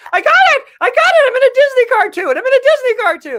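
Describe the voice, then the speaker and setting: An extremely high, cartoonish character voice rushes along at a very fast pace. The tone is excited. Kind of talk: Disney cartoon voice. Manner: excited, gleeful.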